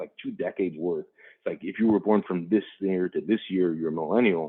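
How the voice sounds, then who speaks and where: A man with an American accent speaks at a fairly quick pace. His pitch varies in an ordinary way. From Chicago west side, US Midwest. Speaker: business executive guest speaker. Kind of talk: Q&A answers in a webinar talk. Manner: fast; casual, repetitive fillers.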